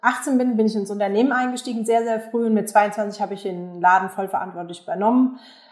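The woman's voice sits at a fairly high pitch. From Germany, Aschaffenburg (Lower Franconia). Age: 40s. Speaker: business owner. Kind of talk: interview. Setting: video call.

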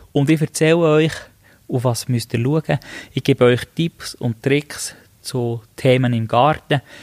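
Very slow and fairly even in intonation, a man at a medium pitch speaks in a dry, close recording with no echo, very clean with a silent background. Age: 30s. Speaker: podcast host, master gardener and business owner. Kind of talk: podcast introduction monologue.

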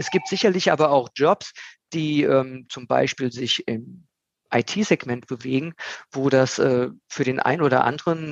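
A man's ordinary speaking voice at medium pitch, with ordinary pitch variation. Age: 50s. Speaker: recruitment consultant. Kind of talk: casual interview.

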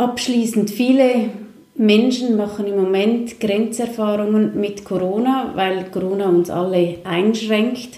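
A woman with a fairly high pitch speaks very slowly with fairly even intonation, amid noticeable background noise and audible room echo. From Switzerland. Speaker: talk show host. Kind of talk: interview.

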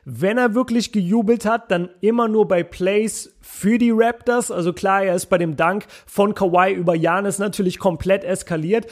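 A man's high-pitched voice, with very even loudness and ordinary pitch variation. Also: moderate pace. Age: 20s. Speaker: basketball podcaster. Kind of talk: casual solo commentary. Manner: animated.

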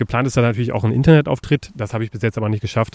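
A man speaks with a dry, close sound and no echo. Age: 30s. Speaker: podcast host. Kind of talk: casual chat.

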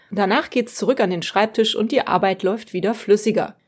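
A very clean recording with a silent background, carrying lively intonation. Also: woman. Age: 40s. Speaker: podcast host and freelance journalist. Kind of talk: solo podcast monologue.

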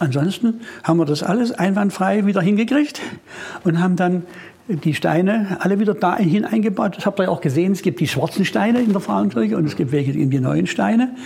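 Against noticeable background noise, a man with a high pitch speaks at a fairly quick pace, with lively intonation and very even loudness. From Erzgebirge, Saxony. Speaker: musician. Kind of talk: casual chat.

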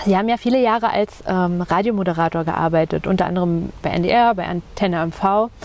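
With hardly any pauses, a plain, everyday voice moves at a moderate pace with ordinary pitch variation. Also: woman, medium pitch for a woman. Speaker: podcast host, journalist. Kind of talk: interview. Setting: outdoors on a bench by a lake.

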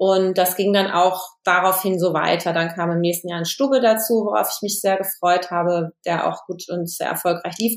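A woman talks at a moderate pace in a plain, everyday voice. Her pitch is medium. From western Germany (Hesse and Lower Rhine). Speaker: film and TV director. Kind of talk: interview.

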